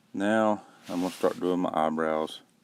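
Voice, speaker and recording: A man with a Southern US accent and a very deep, low pitch speaks in a deadpan tone at a moderate pace with fairly even intonation, on a very clean recording with a silent background. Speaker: parent doing a joke voiceover. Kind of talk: comedic makeup tutorial voiceover. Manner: deadpan, rambling.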